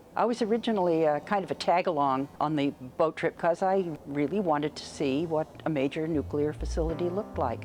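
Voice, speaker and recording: Backed by music, a woman with a very deep, low pitch talks at a fairly quick pace with hardly any pauses and ordinary pitch variation. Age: 70s. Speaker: tour participant. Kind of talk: documentary testimony.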